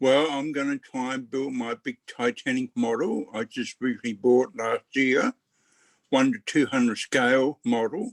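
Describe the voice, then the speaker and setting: A man speaks at a medium pitch and a fairly slow pace. His intonation is fairly even, and the sound is dry and close with no echo. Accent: Australian. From Australia, Brisbane. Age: 50s. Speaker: book club member. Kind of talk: casual chat. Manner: halting.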